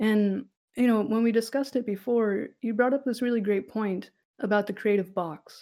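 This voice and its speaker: A woman speaks at a moderate pace with a fairly high pitch. Her tone is dark and mellow, and her pitch varies in an ordinary way. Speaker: podcast host, dungeon master. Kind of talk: casual chat. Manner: a little podcast shy.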